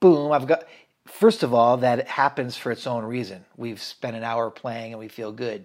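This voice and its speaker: With an American accent, a man of medium pitch and an ordinary speaking voice talks at a fairly quick pace with fairly even intonation on a very clean recording with a silent background. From central Washington State, US. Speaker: photographer, videographer and musician. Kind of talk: casual interview chat.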